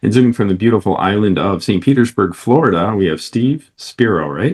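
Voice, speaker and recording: Talking at a fairly quick pace with an American accent, a man uses a normal speaking voice, fairly low in pitch, with lively intonation. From Detroit area. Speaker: podcast host. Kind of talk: interview.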